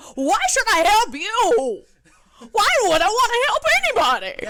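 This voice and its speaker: An extremely high-pitched, put-on character voice speaks at a moderate pace. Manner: grumpy, sour.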